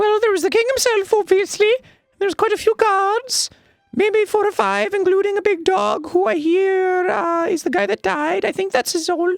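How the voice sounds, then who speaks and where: Squeaky and extremely high, the voice is a put-on character act. Its pace is moderate. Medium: game stream. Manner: defensive, rambling.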